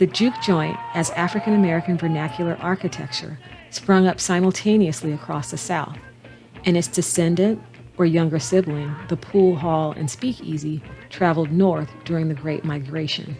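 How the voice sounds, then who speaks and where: A woman speaks at a moderate pace in a fairly low voice with ordinary pitch variation, music playing in the background. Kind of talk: documentary narration.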